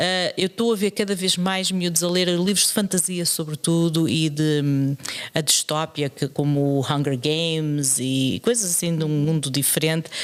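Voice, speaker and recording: A woman speaks at a very deep, low pitch with ordinary pitch variation. Her pace is moderate, with hardly any pauses and very even loudness. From Portugal, moved to Canada at 13. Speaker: secondary school teacher and podcast co-host. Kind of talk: casual chat. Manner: hesitant, with frequent fillers and repetitions.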